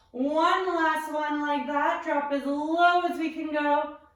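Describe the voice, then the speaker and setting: Her voice is high-pitched, and the woman speaks at a very slow pace. Room echo is audible. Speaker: physiotherapist and pilates instructor. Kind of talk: guided workout instruction. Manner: encouraging, paced cues.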